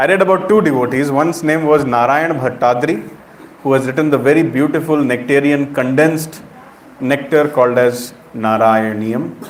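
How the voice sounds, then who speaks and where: Against noticeable background noise and audible room echo, a man with an Indian accent and a fairly high pitch talks fairly quickly with ordinary pitch variation. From India, Uttar Pradesh. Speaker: preacher. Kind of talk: sermon.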